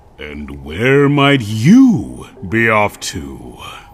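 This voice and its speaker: A cartoonish character voice from a man at a medium pitch. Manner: earnest, enthusiastic.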